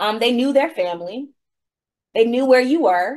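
An ordinary speaking voice from a woman with an American accent, fairly high, fairly quick, with lively intonation. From Virginia, US South. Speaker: law professor. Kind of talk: interview.

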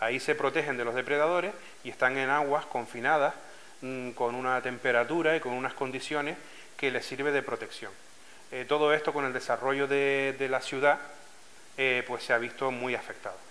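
In a Canarian accent, a man speaks at a moderate pace and medium pitch, his bright, sharp tone carrying fairly even intonation. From Canary Islands, Lanzarote (Arrecife); Canary Islands. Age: 40s. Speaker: scuba diving club president. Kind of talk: interview testimony. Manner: hesitant, with frequent fillers and repetitions. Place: office.

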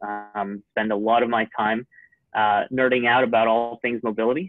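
With music in the background, a man speaks at a moderate pace in a dry sound with no echo. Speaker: panel moderator. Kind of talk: webinar moderator introduction. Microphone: video call.

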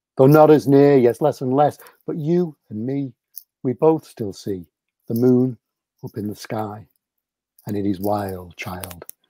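Over a quiet background, a man speaks at a very slow pace in a dark, mellow tone. The sound is dry with no echo, and his pitch varies in an ordinary way. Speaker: children's poet. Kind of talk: poetry reading. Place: home room.

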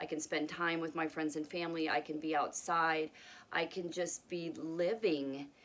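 A woman speaks in a fairly low voice at a moderate pace. Her intonation is monotone and flat. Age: 40s. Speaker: video blogger sharing health journey. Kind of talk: casual vlog monologue. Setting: home with pets. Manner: hesitant, many fillers. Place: home room. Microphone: phone near.

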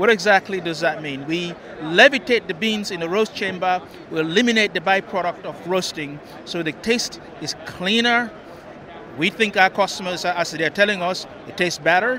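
A man speaks in a raised, projected voice at a moderate pace, with ordinary pitch variation. The sound is dry with no echo, and there is light background noise. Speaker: guest. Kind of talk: interview answer. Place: hall. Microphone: handheld.

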